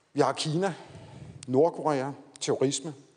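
Here a man speaks at a fairly slow pace. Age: 50s. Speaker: defence committee chair, former lawyer. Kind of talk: lecture.

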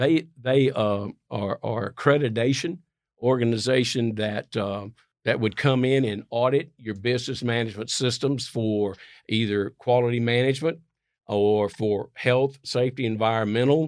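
An unremarkable speaking voice from a medium-pitched man, with fairly even intonation and a very clean recording over a silent background. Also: moderate pace. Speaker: infrastructure security consultant. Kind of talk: casual interview. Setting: studio.

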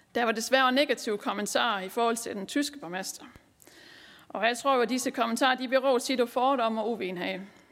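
A woman's high-pitched voice with a Southern Jutland accent. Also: ordinary pitch variation, fairly quick pace. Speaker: local councillor and party group leader. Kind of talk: conference speech. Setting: conference hall with audience.

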